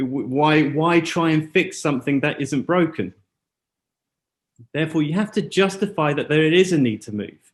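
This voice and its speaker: Intonation is lively, and the pace is moderate. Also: man. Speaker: school educator presenting at seminar. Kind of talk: conference presentation. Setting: auditorium with live translator and zoom.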